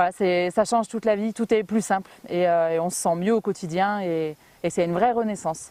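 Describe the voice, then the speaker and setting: A woman of medium pitch speaks at a moderate pace with fairly even intonation, her dark, mellow tone recorded dry and close with no echo. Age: 30s. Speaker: home sales rep, weight-loss testimonial. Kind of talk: interview testimony. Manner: hesitant, many fillers.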